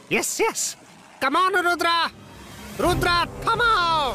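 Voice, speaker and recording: A cartoonish character voice at an extremely high pitch over clear background noise. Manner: exclaiming, comic.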